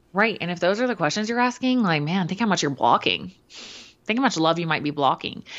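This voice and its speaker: In a plain, everyday voice, a woman talks at a fairly quick pace with hardly any pauses, using lively intonation at a medium pitch. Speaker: podcast co-host, fitness and nutrition coach. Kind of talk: casual chat.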